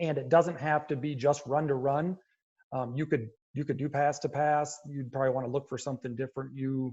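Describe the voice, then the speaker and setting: Fairly quick and somewhat breathy, a man speaks at a fairly high pitch with monotone, flat intonation. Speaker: football coach. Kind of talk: lecture. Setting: video call. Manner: fast.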